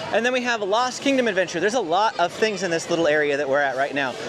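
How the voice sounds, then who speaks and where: A man speaks with lively intonation over crowd noise in the background, with audible room echo. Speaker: theme park vlogger. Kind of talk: walking tour narration. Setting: outdoors. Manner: fast.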